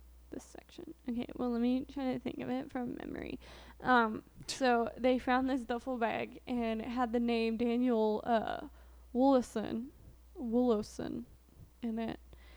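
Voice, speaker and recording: A woman with a high pitch and an American accent talks at a fairly slow pace with fairly even intonation. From southern Illinois, near Marion. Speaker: true crime podcast co-host. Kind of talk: casual chat.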